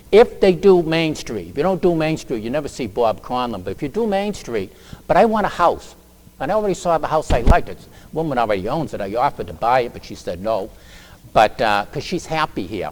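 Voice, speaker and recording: A man with an American accent speaks at a fairly high pitch with vocal fry. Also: big swings in loudness. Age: 70s. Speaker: town council candidate. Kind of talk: candidate forum speech. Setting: community forum with audience. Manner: halting.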